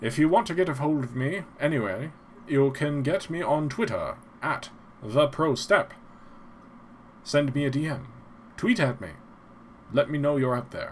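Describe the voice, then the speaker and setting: A man with a fairly high voice speaks at a moderate pace, his pitch moving in an ordinary way, with long, frequent pauses. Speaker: podcast host. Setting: podcast outro.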